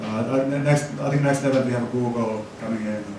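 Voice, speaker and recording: Through noticeable background noise and audible room echo, a man talks at a moderate pace with monotone, flat intonation. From Finland. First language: Finnish. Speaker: tech community organizer and business consultant. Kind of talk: conference presentation. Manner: halting, many repetitions and fillers.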